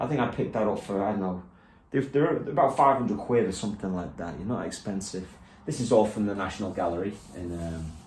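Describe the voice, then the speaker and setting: Audible room echo surrounds a man with a Liverpool accent and a fairly low pitch. He talks at a fairly quick pace, sounding somewhat breathy. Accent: Liverpool (Scouse) English. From England, Liverpool. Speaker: guitarist and guitar teacher. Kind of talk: casual studio tour walkthrough. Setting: home teaching studio. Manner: relaxed, with many fillers.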